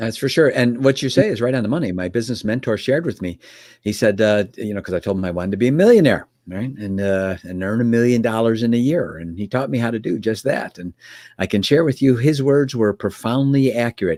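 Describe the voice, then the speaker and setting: With a Chicago accent, the speaker talks very fast in a dark, mellow tone with ordinary pitch variation, on a very clean recording with a silent background. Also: man, medium pitch for a man. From US Midwest, Chicago area. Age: 60s. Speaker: business mentor. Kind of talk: podcast interview.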